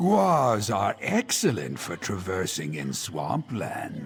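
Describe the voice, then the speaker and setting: Clear music plays in the background as a man talks. He uses a put-on character voice at a very slow pace. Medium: machinima. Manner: salesy, reassuring.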